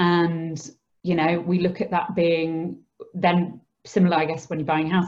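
A woman with a Yorkshire accent speaks fairly slowly at a fairly low pitch, with music in the background. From northern England, Skipton (Yorkshire). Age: 30s. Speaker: charity founder and social worker. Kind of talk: interview. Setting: remote recording from home.

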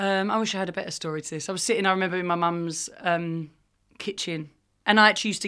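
A woman at medium pitch with a very fast pace, a bright, sharp tone and fairly even intonation, on a very clean recording with a silent background. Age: 30s. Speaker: fashion brand founder and CEO. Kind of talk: casual chat.

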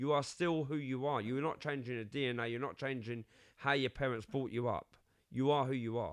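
A man with a London accent and a medium pitch talks at a fairly quick pace with fairly even intonation. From London, England. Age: 50s. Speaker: podcast co-host. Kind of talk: casual chat.

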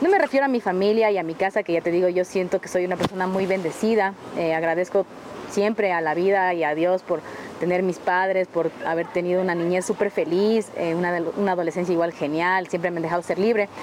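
A woman with a medium-pitched voice speaks at a fairly quick pace and with fairly even intonation over noticeable background noise. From Ecuador, south Quito. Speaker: photographer. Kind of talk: casual chat.

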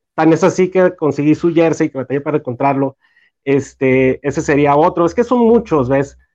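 At a moderate pace, a man speaks with a fairly high pitch and ordinary pitch variation. The sound is dry and close with no echo, and the background is quiet. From Mexico, Torreón, Coahuila. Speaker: fan group founder. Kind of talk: casual chat among fans. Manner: halting, many repetitions.

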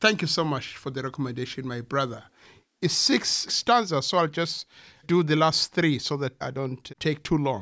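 A man with a bright, sharp tone and fairly high pitch uses lively intonation on a very clean recording with a silent background. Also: moderate pace. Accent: Zulu. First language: Zulu. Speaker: poet and translator. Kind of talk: poetry reading.

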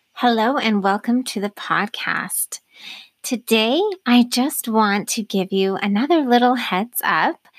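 In a normal speaking voice, a woman talks fairly slowly at a fairly high pitch with ordinary pitch variation, the sound dry and close with no echo. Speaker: podcast host. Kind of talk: interview conversation. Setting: internet call. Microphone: new mic too close, popping P's and T's.

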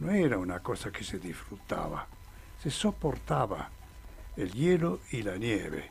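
The man talks extremely slowly. There is a slight breathiness to his voice. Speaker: mountaineer. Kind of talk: interview. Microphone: too far from mic.

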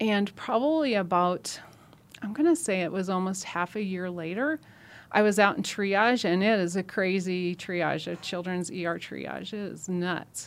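A woman's unremarkable speaking voice with an American accent, medium in pitch, fairly slow, with ordinary pitch variation. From Nebraska, rural US Midwest. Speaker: trauma nurse coordinator. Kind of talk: podcast interview. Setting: studio.

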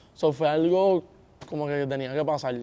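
A man is speaking. His pace is fairly quick. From Puerto Rico. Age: young. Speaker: reggaeton singer. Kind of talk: interview.

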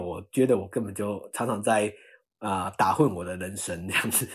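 Recorded very cleanly against a silent background, a man with an unremarkable speaking voice talks at a moderate pace with lively intonation. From Taiwan, Chiayi. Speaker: staff scientist at biotech startup. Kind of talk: interview.

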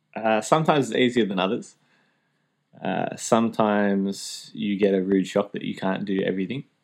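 With an Australian accent, a man speaks at a moderate pace with a fairly low pitch and ordinary pitch variation. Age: 20s. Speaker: teacher, DJ and former youth minister. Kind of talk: casual interview.

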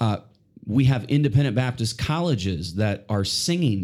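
A man speaks at a medium pitch and a moderate pace, in an ordinary speaking voice. His intonation is lively. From British Columbia, Canada. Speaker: missionary music teacher. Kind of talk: religious podcast interview.

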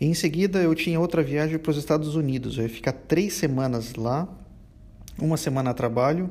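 A man's pitch varies in an ordinary way as he talks fairly quickly. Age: 20s. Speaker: podcast host. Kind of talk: monologue rant. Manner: halting.

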